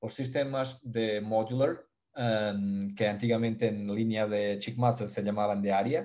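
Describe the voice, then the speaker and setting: This man has a Portuguese accent and a fairly low pitch. His tone is dark and mellow, with fairly even intonation. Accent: Portuguese accent in Spanish, noticeable. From Portugal. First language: Portuguese (speaking Spanish). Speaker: poultry ventilation expert. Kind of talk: webinar presentation. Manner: halting, with fillers and self-corrections.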